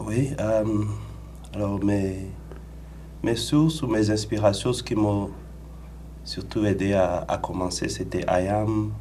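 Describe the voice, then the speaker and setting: Speaking at a very slow pace with long, frequent pauses, a man with a fairly low pitch is heard over noticeable background noise and audible room echo. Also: ordinary pitch variation. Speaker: rapper. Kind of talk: radio interview.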